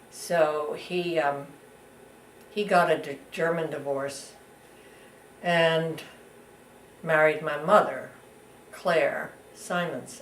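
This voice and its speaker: Pausing long and often, a woman speaks at a very slow pace with a fairly low pitch and fairly even intonation. Audible room echo and noticeable background noise are present. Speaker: interviewee recounting family history. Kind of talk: oral history interview. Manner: halting.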